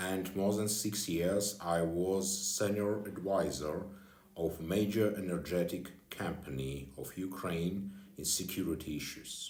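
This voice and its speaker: Very deep and low in pitch, a man speaks at a fairly slow pace with fairly even intonation. Room echo is audible. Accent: non-native. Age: 40s. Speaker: security consultant and former deputy minister. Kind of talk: personal video address. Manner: halting.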